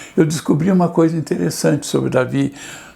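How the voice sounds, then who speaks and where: Someone talks at a middling tempo while clear background noise carries on behind. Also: man. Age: 70s. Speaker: pastor. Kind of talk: sermon.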